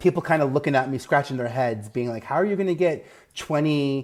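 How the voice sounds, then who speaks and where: With a New York accent, a man rattles along at a very fast pace with ordinary pitch variation. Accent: Staten Island. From New York, Staten Island. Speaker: media advisor, former TV executive. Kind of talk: podcast interview.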